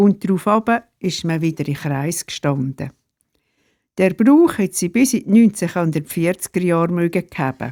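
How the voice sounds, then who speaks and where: At a fairly slow pace, a woman speaks with a fairly low pitch and a dark, mellow tone, the sound dry and close with no echo in a very clean recording against a silent background. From Switzerland, canton Glarus (Sernftal). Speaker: retired pastor and storyteller. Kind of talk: reading aloud of memoir stories.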